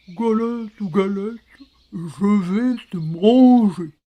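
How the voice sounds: A female-sounding voice puts on a growling character voice at a medium pitch. It moves at a very slow pace.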